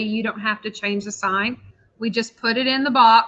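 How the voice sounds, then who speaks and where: A woman with a normal speaking voice, fairly high-pitched, at a moderate pace and with fairly even intonation. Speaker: math teacher. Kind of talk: lecture.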